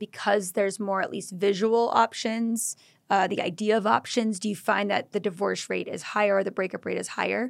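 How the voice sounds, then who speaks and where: An ordinary speaking voice from a woman of medium pitch, at a moderate pace with fairly even intonation, in a very clean recording with a silent background. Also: hardly any pauses. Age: 30s. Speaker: podcast host. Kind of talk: interview. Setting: studio.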